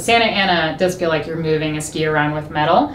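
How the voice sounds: At a moderate pace, a woman speaks with a low pitch as faint background noise sits behind her.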